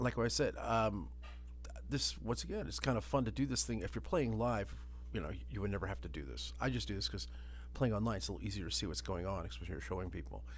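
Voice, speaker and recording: The speech comes at a very fast pace with lively intonation and vocal fry. Audible room echo surrounds it. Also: man, very deep, low pitch for a man. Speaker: tabletop game master and video creator. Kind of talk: screen-share tutorial. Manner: casual, with fillers.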